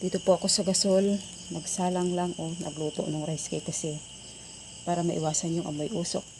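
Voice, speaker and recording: Fairly quick and somewhat breathy, a woman with a fairly low pitch speaks in a monotone with flat intonation. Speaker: cooking vlogger. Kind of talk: casual vlog narration.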